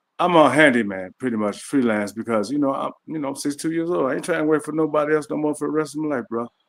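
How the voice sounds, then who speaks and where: Talking at a very fast pace with hardly any pauses, a man uses a fairly high pitch and ordinary pitch variation. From US Midwest, Chicago far south side. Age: 60s. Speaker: handyman. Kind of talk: casual interview. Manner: halting.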